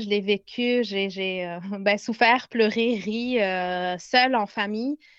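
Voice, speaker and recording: This is a woman with a medium-pitched voice. Her intonation is fairly even. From Lebanon. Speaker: pedagogical consultant. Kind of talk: casual interview. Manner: halting.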